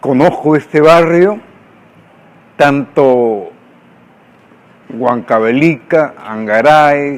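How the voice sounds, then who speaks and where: Speaking very slowly, a man uses a fairly high pitch. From Peru, Lima. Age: 70s. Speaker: writer. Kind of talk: documentary interview.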